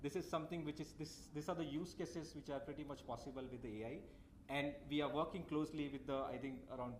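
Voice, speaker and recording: Amid audible room echo, a man speaks very fast at a fairly high pitch with fairly even intonation. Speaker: tech company representative. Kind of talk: conference talk.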